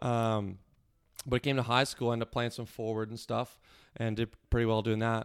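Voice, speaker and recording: A man with a Maritime Canadian accent talks at a fairly quick pace and medium pitch, in a monotone, flat intonation. He takes long, frequent pauses, and the recording is very clean with a silent background. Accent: Canadian (Maritimes). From Nova Scotia, Canada (Cole Harbour, Halifax area). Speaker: yacht crew member. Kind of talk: casual interview chat.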